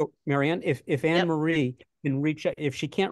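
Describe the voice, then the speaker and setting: A man with an American accent speaks at a moderate pace. The sound is dry with no echo, and the background is quiet. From New York City. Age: 60s. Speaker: retired teacher, union candidate. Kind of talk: casual chat. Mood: earnest, persuasive. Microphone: video call.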